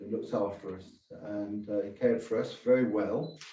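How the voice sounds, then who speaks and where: In a room with audible echo, a man with a southern English accent speaks at a very slow pace in a dark, mellow tone. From England, southeast London. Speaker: missionary priest. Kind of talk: interview. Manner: halting.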